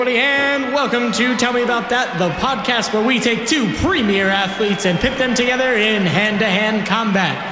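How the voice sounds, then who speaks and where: A raised, projected voice carries on with hardly any pauses over noticeable background noise. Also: man, extremely high pitch for a man, ordinary pitch variation, moderate pace, very even loudness. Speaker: comedy podcast host and mock referee. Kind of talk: mock ring announcer intro; casual comedic banter.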